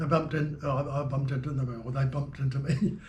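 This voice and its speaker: A man talks at a fairly quick clip. Room echo can be heard around his voice. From New Zealand. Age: 80s+. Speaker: jazz keyboard player. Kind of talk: interview, reminiscing. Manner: halting, many fillers.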